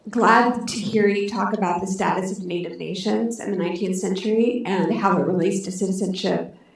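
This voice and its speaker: A soft-spoken woman talks at a moderate pace with fairly even intonation and medium pitch. Room echo is audible. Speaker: audience member asking a question. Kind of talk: audience question. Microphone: microphone held too far from mouth.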